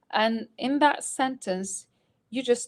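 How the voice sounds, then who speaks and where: In a dry, close sound with no echo, a woman with a slight American accent speaks with ordinary pitch variation. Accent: slightly Americanized. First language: Arabic. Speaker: Arabic teacher. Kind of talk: live stream Q&A. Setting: live stream.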